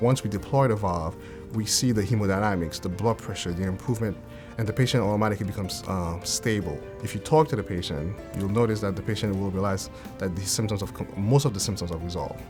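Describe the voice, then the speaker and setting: Music plays in the background as a man with a fairly low pitch talks at a very fast pace. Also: ordinary pitch variation. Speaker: cardiologist. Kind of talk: interview answer.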